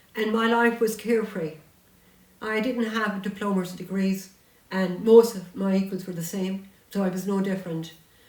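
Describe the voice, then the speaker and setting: This woman has a Munster Irish accent, a medium pitch and fairly even intonation at a moderate pace. Noticeable background noise and audible room echo surround her voice. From Ireland, County Tipperary. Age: 70s. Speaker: author and local historian. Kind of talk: interview chat.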